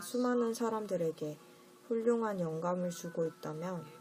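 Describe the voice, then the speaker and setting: A woman talks very slowly. Behind her, music is playing. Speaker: audiobook reader. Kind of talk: audiobook essay reading, ASMR-style bedtime narration.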